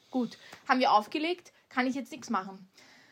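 A woman with an Austrian accent speaks at a high pitch and a fairly quick pace. Her tone is bright and sharp, with ordinary pitch variation. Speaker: podcast co-host. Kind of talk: casual chat.

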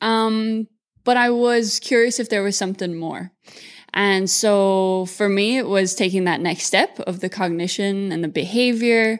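At a fairly slow pace, a woman speaks with an Irish accent at a medium pitch with fairly even intonation. The recording is very clean, with a silent background. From Ireland, Mullingar. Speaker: zoo student keeper. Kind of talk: interview.

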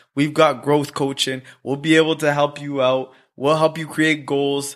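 A man speaks at a moderate pace in a fairly high pitch with monotone, flat intonation. The recording is very clean, with a silent background. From Rwanda. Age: 30s. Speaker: podcast host. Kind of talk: casual chat.

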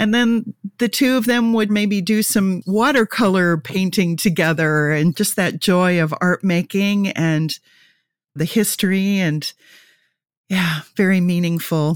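On a very clean recording with a silent background and a dry, close sound with no echo, a woman with a plain, everyday voice speaks fairly slowly at a medium pitch, with ordinary pitch variation and very even loudness. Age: 60s. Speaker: marketing director and podcast host. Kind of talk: casual interview.

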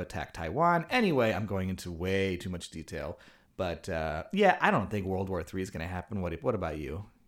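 A man with an American accent and a normal speaking voice, fairly low in pitch and fairly quick, in a very clean recording with a silent background. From Chicago, US Midwest. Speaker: podcast co-host. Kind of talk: casual chat.

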